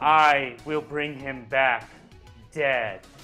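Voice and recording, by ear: Over faint music in the background, a man performs a booming, put-on character voice with fairly high pitch.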